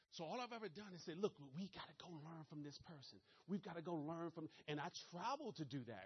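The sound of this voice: With a Maryland accent, this voice moves at a fairly quick pace, with lively intonation and a slightly husky edge. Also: man, fairly high pitch for a man.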